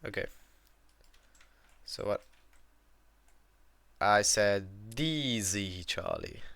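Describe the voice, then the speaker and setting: Speaking with a slight European accent, a man goes at a very slow pace. He leaves long, frequent pauses. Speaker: gaming instructor. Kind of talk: instructional gaming voice chat.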